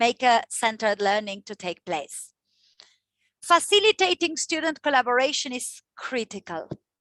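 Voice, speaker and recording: A woman speaks in a raised, projected voice with a bright, sharp tone and very wide pitch swings, at a moderate pace. The sound is dry and close with no echo, over a quiet background. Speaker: teacher trainer. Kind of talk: workshop presentation. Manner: loud, passionate.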